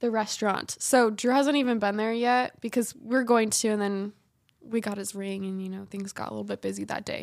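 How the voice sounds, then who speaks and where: On a very clean recording with a silent background, a woman uses an ordinary speaking voice, fairly high in pitch, talking at a fairly quick pace with fairly even intonation and big swings in loudness. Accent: American. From Utah. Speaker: speech language therapist. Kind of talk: casual chat.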